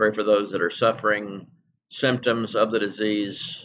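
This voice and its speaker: A man at a medium pitch speaks at a fairly slow pace in a flat monotone, with a quiet background. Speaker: pastor. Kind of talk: prayer gathering: scripture reading, then fervent spoken prayer. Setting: church service streamed online. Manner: earnest, pleading, heartfelt. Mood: solemn, prayerful. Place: home room. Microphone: webcam.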